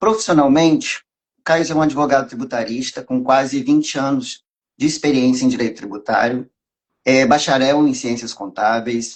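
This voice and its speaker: At a moderate pace, a man talks at a medium pitch. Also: ordinary pitch variation. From Minas Gerais, Brazil (born in Rio). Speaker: tax lawyer. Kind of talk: live stream interview.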